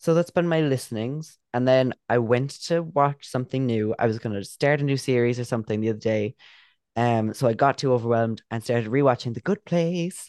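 A man with an Irish accent speaks at a fairly quick pace with ordinary pitch variation. The sound is dry and close with no echo over a quiet background. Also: medium pitch for a man. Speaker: podcast co-host. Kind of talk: casual chat.

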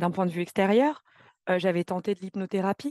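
The background stays quiet. Over it, a woman talks at a fairly quick pace. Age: 20s. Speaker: podcast guest, program participant. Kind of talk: testimony. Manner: sometimes fast, stumbling.

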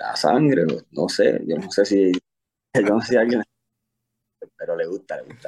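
Long, frequent pauses, big swings in loudness, and a fairly slow pace. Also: man. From Puerto Rico. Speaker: army career counselor. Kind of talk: interview.

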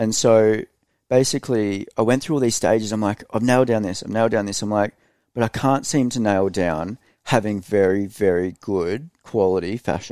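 A man with an Australian accent speaks at a moderate pace in a fairly low voice with a dark, mellow tone and ordinary pitch variation, recorded dry and close with no echo against a silent background in a very clean recording. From Australia (Queensland, Hervey Bay). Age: 30s. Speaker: e-commerce entrepreneur. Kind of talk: casual chat. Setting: studio.

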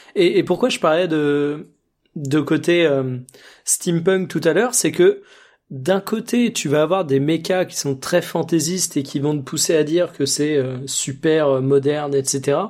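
With a fairly high pitch and ordinary pitch variation, a man talks at a very slow pace on a very clean recording with a silent background. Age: 20s. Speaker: video game podcast co-host. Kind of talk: casual chat.

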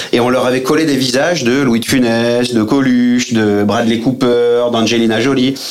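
With audible room echo and noticeable background noise, a man speaks at a moderate pace with hardly any pauses, medium pitch, very even loudness and a monotone, flat intonation. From Aix-Marseille, southern France. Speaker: actor and comedy theatre director. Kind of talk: radio interview.

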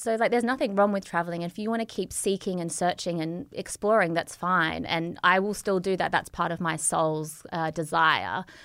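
Using an Australian accent, a woman talks at a medium pitch with hardly any pauses. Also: ordinary pitch variation, moderate pace, very clean recording, silent background. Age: 30s. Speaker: entrepreneur and yoga teacher. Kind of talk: casual interview. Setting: studio.

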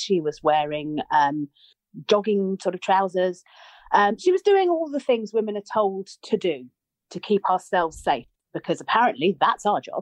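A woman with a British accent speaks at medium pitch, her voice moving in very wide pitch swings. The sound is dry and close with no echo, over a quiet background. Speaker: writer and commentator. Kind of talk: panel discussion.

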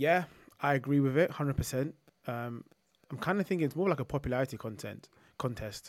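Fairly high in pitch and with a London accent, a man talks at a very fast pace yet leaves long, frequent pauses. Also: ordinary pitch variation. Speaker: football podcast co-host. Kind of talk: casual chat. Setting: remote call.

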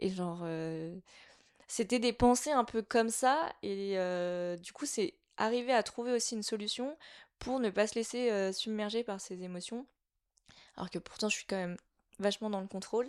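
A woman at a fairly high pitch and moderate pace, with ordinary pitch variation and long, frequent pauses, in a very clean recording with a silent background. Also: big swings in loudness. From French mountain region. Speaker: art director and designer. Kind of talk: casual interview. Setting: in-person chat over tea.

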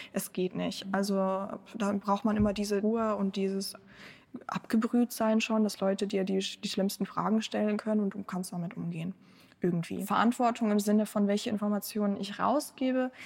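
A woman at medium pitch, somewhat breathy, in a monotone, flat intonation and at a moderate pace. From Germany (born in Ukraine). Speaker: press spokesperson for a Ukrainian aid group. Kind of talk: podcast interview.

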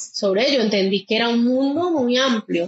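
Noticeable background noise surrounds a woman whose fairly high voice shows ordinary pitch variation as she talks at a moderate pace. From Colombia, Quindío (Pijao). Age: 40s. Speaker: nature guide and birdwatcher. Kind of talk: interview testimony.

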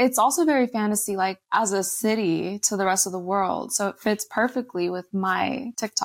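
In a plain, everyday voice with an American accent, a woman talks at a moderate pace with hardly any pauses, her fairly high pitch showing ordinary variation, in a dry, close sound with no echo on a very clean recording with a silent background. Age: 20s. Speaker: influencer and entrepreneur. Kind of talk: casual interview.

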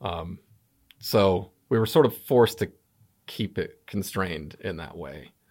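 In a very clean recording with a silent background, a man with a fairly low pitch speaks with lively intonation, big swings in loudness and long, frequent pauses. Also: fairly slow pace. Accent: Southwestern US. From US Southwest, New Mexico. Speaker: comedian. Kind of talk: casual interview chat.

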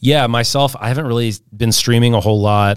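A man with an American accent, a normal speaking voice at a fairly quick pace and with fairly even intonation. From St. Louis, Missouri. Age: 30s. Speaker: marketing strategist and DJ. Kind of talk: casual interview.

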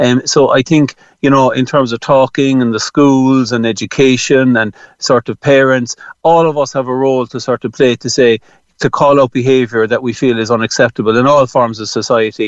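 A man at a medium pitch with an Irish accent, a fairly quick pace, and fairly even intonation. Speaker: general practitioner. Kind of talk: radio interview. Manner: halting, repeats words.

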